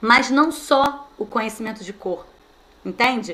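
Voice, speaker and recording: Her tone animated, a woman speaks at a high pitch with ordinary pitch variation. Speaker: teacher trainer. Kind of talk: online training lecture.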